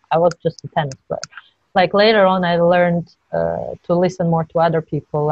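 A woman speaks with a Georgian accent in flat, monotone intonation, in a dry sound with no echo. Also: quiet background. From Georgia (Tbilisi). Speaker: professional tennis player; interviewee. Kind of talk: interview. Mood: reflective, candid. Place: home room. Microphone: video call.

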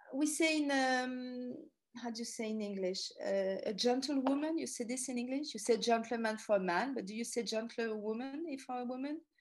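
At a moderate pace, the speaker uses a French accent and ordinary pitch variation over a quiet background. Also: woman. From Paris, France. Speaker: tour guide and author; tour guide. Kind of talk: lecture. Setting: talk to a ladies group. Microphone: video call.

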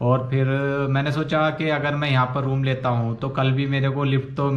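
This man speaks at a moderate pace. His intonation stays flat and monotone. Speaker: travel vlogger. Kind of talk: casual vlog chat. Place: home room. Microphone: phone near.

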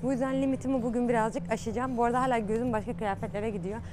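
Over noticeable background noise, a woman talks very fast with a fairly high pitch and ordinary pitch variation. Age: 20s. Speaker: YouTuber. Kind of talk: vlog. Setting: outdoors. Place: shop. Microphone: lapel.

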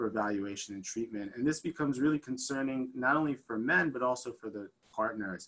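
A man keeps a fairly quick pace while his pitch shifts in an ordinary way. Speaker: physician lecturer. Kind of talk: lecture. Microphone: video call.

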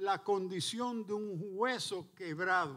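In a quiet background, a man speaks very slowly in a high voice. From New York City. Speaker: preacher. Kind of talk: sermon. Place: church. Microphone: handheld.

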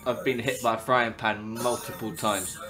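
Music plays in the background as a man speaks fairly quickly. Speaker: online video streamer playing guitar. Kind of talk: casual chat with strangers on video chat. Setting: video call.

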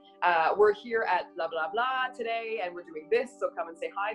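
A woman speaks at a moderate pace with ordinary pitch variation. Faint music plays in the background. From Montreal, Canada. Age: 20s. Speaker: radio announcer. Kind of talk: interview answer. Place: home room. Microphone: webcam.

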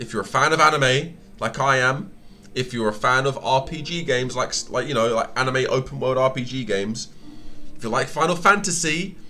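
A man delivers his words at a moderate speed while faint music sounds behind him. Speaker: gaming streamer. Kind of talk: casual stream commentary to chat. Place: home room.

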